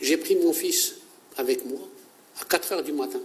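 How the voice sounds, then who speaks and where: A man at a moderate pace. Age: 60s. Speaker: unemployed volunteer. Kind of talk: interview testimony. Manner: halting.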